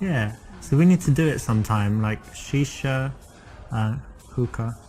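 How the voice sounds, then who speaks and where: Music plays in the background as a man talks at a very slow pace. His pitch is medium, with ordinary pitch variation. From South London, England. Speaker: dating coach. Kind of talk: tutorial; casual chat.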